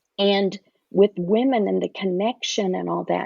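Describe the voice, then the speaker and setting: A woman speaks with a Southern US accent. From US South. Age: 60s. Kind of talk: podcast interview.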